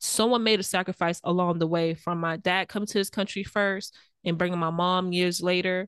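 A woman with an American accent speaks at medium pitch in a monotone, flat delivery. The sound is dry and close with no echo over a quiet background. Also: fairly quick pace. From US South, rural Belle Glade, Florida. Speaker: podcast co-host. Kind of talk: casual chat.

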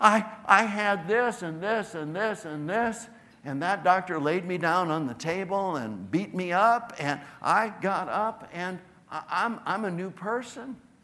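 A man with a high pitch uses a raised, projected voice with a bright, sharp tone. He goes at a fairly slow pace with ordinary pitch variation. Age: 70s. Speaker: chiropractor and seminar presenter. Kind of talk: seminar talk to live audience. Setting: stage with audience.

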